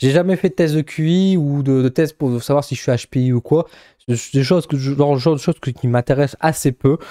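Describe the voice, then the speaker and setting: Against a quiet background, a man with a fairly high pitch and a dark, mellow tone speaks with fairly even intonation. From northern France, Bourbourg; northern France. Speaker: psychic YouTuber; vlogger. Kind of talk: casual vlog; casual vlog chat. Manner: fast; halting. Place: home room. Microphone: studio mic.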